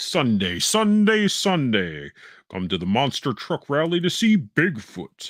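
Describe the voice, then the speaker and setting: Putting on a booming character voice, a man speaks at a fairly slow pace with a fairly high pitch and very wide pitch swings, on a very clean recording with a silent background. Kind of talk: announcer.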